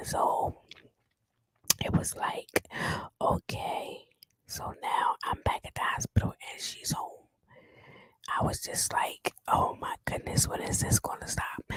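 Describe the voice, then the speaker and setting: A woman whispering very slowly, with long, frequent pauses and big swings in loudness, in a dry, close sound with no echo. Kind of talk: ASMR whispered story time. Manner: whispered.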